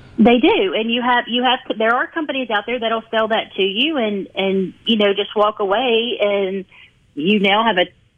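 A woman's unremarkable speaking voice at a moderate pace, with ordinary pitch variation. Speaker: heating and air company representative. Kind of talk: radio interview.

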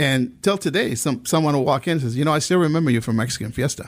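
A man speaks very fast, and his pitch varies in an ordinary way. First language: Spanish. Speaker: insurance agent. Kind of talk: radio interview.

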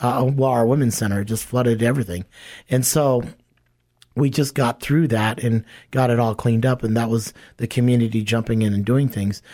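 A man with a dark, mellow tone and medium pitch, at a fairly quick pace and very even loudness. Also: fairly even intonation, very clean recording, silent background. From Hawaii, then Los Angeles from age twelve. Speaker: homeless shelter CEO. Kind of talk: casual interview.

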